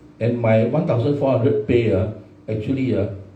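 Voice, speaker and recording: There is audible room echo as a man speaks with a Singaporean accent. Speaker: forum moderator. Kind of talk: panel discussion. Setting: live stream. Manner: animated.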